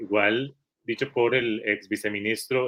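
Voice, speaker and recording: A man's normal speaking voice, medium in pitch, with ordinary pitch variation. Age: 30s. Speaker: interviewer, editor. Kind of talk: political interview.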